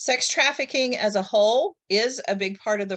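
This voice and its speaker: A woman speaks at a medium pitch in an ordinary speaking voice. Her pitch varies in an ordinary way over a quiet background. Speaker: social work professor. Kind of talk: presentation on a group call.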